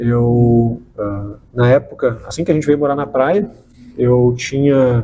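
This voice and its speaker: At a very slow pace, a man speaks in a medium-pitched, somewhat breathy voice with a dark, mellow tone and ordinary pitch variation. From southern Brazil, Porto Alegre. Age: 30s. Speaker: state tourism official. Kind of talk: interview. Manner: halting, many fillers.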